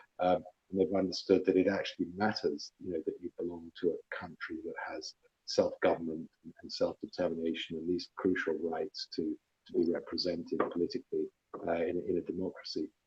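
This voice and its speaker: A man with a London accent and big swings in loudness. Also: fairly quick pace, dry, close sound with no echo. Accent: southern English (London). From London (Chelsea), England. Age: 50s. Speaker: politician. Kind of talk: casual chat.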